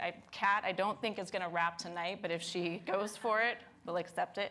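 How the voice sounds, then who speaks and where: A woman speaks loudly at a moderate pace, her pitch in the middle range. Her tone is bright and sharp. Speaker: lecture series host and curator. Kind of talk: live event introduction. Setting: stage with live audience and live stream. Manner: animated.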